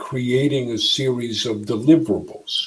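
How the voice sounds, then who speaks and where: A man speaks in a plain, everyday voice at medium pitch. His pace is fairly slow, with ordinary pitch variation. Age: 60s. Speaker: entrepreneur. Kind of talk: interview.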